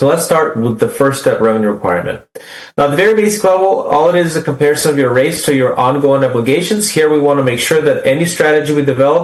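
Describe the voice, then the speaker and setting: Over audible room echo, a man with a fairly high pitch talks at a very fast pace and very even loudness. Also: ordinary pitch variation. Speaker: utility rate consultant. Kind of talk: presentation to city council.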